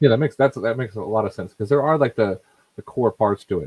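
An unremarkable speaking voice from a man with an American accent, the sound dry and close with no echo. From US. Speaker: podcast co-host.

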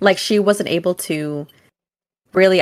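A woman speaks at a medium pitch with ordinary pitch variation, in a plain, everyday voice. The recording is very clean, the background silent. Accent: American. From US West Coast, Oakland area. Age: 20s. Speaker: podcast co-host. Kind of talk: casual chat.

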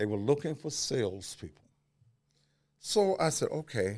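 A very clean recording of a man's voice against a silent background. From Memphis, Tennessee. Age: 60s. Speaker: radio host and media personality. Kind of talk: interview. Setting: studio. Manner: animated.

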